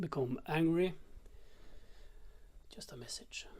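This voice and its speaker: Speech unfolds very slowly. It is delivered in a non-native accent. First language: not English. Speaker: conspiracy-minded spiritual vlogger. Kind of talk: casual monologue. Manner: halting, many fillers.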